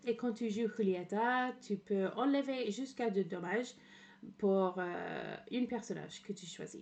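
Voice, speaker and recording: A woman with a slight English accent, fairly high in pitch, at a fairly slow pace. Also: ordinary pitch variation. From England. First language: English (speaking French). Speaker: streamer. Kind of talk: casual livestream commentary. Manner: halting, many fillers.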